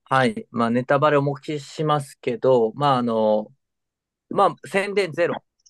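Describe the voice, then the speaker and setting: Fairly high-pitched for a man, this is a normal speaking voice with lively intonation, recorded dry and close with no echo against a quiet background. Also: fairly slow pace. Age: 40s. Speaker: podcast co-host, entertainment industry worker. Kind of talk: casual chat.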